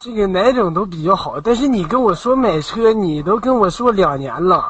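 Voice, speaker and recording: A man with a high pitch speaks at a moderate pace. His intonation is lively. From Jinhua, Zhejiang. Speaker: caller. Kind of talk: casual banter.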